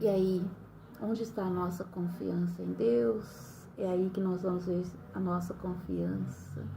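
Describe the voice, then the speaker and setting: Noticeable background noise and audible room echo surround a woman speaking at a fairly slow pace. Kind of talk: bible reflection. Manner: smiling while speaking; hesitant, many fillers.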